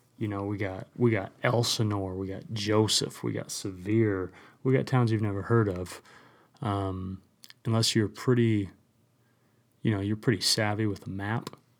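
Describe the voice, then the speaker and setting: On a very clean recording with a silent background, a man with an American accent speaks in a fairly low pitch at a moderate pace, with fairly even intonation and long, frequent pauses. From US West, rural central Utah. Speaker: podcast host. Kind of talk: casual solo monologue. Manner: casual, filler-heavy.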